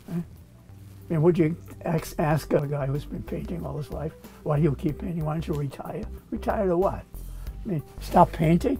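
A man's fairly high voice at a moderate pace, with faint music in the background. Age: 80s+. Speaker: inventor. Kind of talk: interview answer. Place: workshop. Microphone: lapel.

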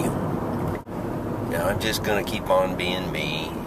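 A man's voice comes through dry and echo-free amid loud background noise. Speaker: commuter vlogger. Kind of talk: casual vlog chat. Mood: reflective, wry. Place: car. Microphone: phone near.

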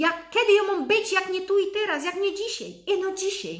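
A woman talks in an animated tone with a Silesian accent. The background is quiet. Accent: Silesian-accented Polish. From Upper Silesia, Poland. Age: 30s. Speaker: lifestyle vlogger. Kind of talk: motivational vlog talk. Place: home room. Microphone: webcam.

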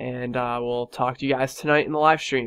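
A very fast man's voice with monotone, flat intonation against a quiet background. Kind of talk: casual vlog. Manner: casual, filler-heavy.

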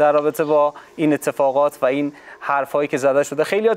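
This man talks very fast in a fairly high voice. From Afghanistan. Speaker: sports TV host. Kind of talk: TV talk show. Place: studio. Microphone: lapel.

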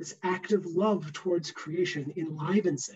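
The background is quiet. A man talks at a fairly slow pace. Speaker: theology professor. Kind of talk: interactive lecture. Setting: video call. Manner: animated. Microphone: webcam.

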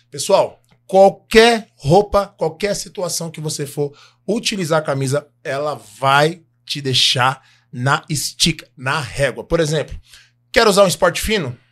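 A man with a fairly high pitch, ordinary pitch variation and an animated tone, at a fairly slow pace against a quiet background. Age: 40s. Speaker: podcast co-host. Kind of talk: casual chat; sales pitch. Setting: studio. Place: studio. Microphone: studio mic.

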